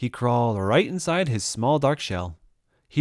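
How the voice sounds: It is a natural reading voice with lively intonation. The background is quiet.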